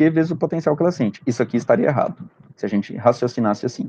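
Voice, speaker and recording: Over a quiet background, a man is talking. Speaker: physics teacher. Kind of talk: lecture. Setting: recorded remote class with screen share.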